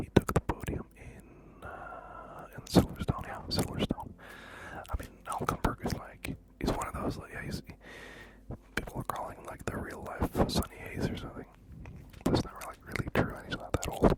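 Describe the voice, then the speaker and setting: A man whispers at a moderate pace. There are big swings in loudness and noticeable background noise. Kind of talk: ASMR whispering about random topics. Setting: close microphones, binaural, studio. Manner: whispered, close-up.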